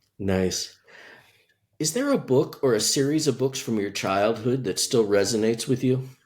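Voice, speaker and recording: A man with a plain, everyday voice, medium pitch, ordinary pitch variation and moderate pace, on a very clean recording with a silent background. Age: 60s. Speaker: podcast host. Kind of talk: interview.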